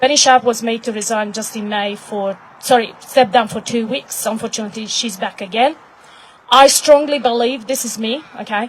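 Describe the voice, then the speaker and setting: A woman with a Hungarian accent speaks at a moderate pace in a fairly high pitch, her intonation fairly even. Her loudness swings widely, and background noise is noticeable. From Hungary. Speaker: activist. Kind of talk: impromptu speech at live event. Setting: live event with audience.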